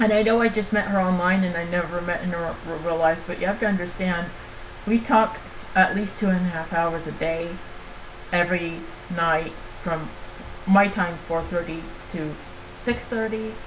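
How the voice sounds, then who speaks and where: A woman with a fairly low pitch talks at a moderate pace, her intonation fairly even. Noticeable background noise and audible room echo fill the recording. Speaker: vlogger. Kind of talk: casual webcam monologue. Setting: laptop webcam recording. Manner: halting, many fillers.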